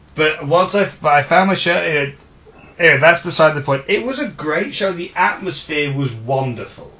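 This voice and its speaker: A man's fairly high voice with a southern English accent, ordinary pitch variation and a fairly quick pace, over noticeable background noise. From southeast England (Orpington, Kent). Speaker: podcast co-host, wrestling fan. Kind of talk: casual chat.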